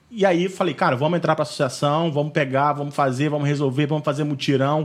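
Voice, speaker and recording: A man with a normal speaking voice, fairly high pitch for a man and fairly even intonation. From Valença, Rio de Janeiro state, Brazil. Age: 30s. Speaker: neighborhood association president. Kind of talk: interview. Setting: video call.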